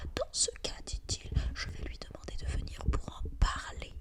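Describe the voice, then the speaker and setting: Noticeable noise fills the background. Over it, a woman whispers fairly slowly. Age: 20s. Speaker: ASMR content creator reading books aloud. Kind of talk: whispered ASMR book reading. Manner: soft, whispered, intimate.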